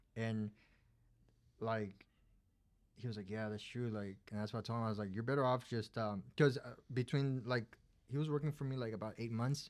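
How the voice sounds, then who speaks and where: A man with a Spanish accent at a moderate pace, with long, frequent pauses, on a very clean recording against a silent background. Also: medium pitch for a man. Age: 20s. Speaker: plumber and business owner. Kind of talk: casual chat. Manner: halting, many fillers.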